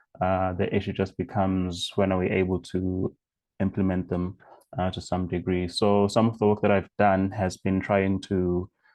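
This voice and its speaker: Monotone, flat intonation marks a man's very deep, low voice as he talks at a moderate pace. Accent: South African. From South Africa. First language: isiZulu. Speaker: science journalist. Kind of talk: panel talk. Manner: halting, many fillers.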